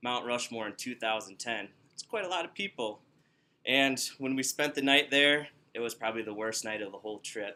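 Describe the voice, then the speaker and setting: In a Wisconsin accent, a man talks at a moderate pace with a bright, sharp tone and medium pitch. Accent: Upper Midwest (Wisconsin) American. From Wisconsin, Milwaukee. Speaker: student giving a speech. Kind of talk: descriptive speech to small audience. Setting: workplace, in front of coworkers. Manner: casual, conversational.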